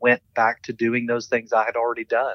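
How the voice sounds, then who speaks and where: A man with a strong Southern US accent speaks at a medium pitch. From US South, eastern Kentucky. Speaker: theology professor and seminary administrator. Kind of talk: interview conversation.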